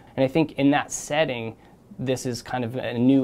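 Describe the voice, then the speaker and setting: Light background noise sits under a man's medium-pitched voice. He talks at a fairly quick pace with fairly even intonation. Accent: American. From US South, Charleston, South Carolina. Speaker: physician researcher. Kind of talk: interview. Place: office. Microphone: lapel.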